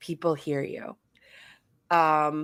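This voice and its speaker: The woman's voice sits on a very clean recording against a silent background. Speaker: podcast co-host. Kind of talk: casual chat. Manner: loud.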